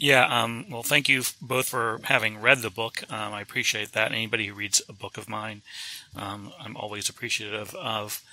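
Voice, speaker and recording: Fairly even intonation and a moderate pace characterize a man speaking with noticeable background noise. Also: medium pitch for a man. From US South. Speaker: author and photojournalist. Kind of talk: interview. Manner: halting, many fillers.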